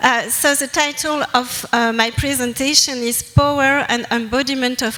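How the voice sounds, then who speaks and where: A woman's high-pitched voice with a strong French accent, fairly slow and fairly even in intonation, over noticeable background noise. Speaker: anthropologist presenter. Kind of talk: academic presentation. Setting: conference with audience. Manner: halting.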